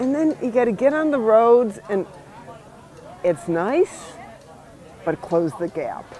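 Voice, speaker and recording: A woman at a fairly high pitch and fairly slow pace, with noticeable background noise. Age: 60s. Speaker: touring cyclist. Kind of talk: interview.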